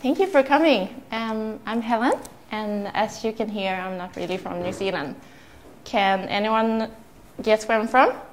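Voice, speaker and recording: Using a fairly high pitch with ordinary pitch variation, a woman speaks at a fairly slow pace with a Swedish accent. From southern Sweden. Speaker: entrepreneur. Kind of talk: talk to audience.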